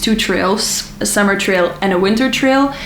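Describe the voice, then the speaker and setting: Noticeable background noise and audible room echo surround a woman talking at a moderate pace, with medium pitch and ordinary pitch variation. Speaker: travel vlogger. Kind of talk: casual tutorial.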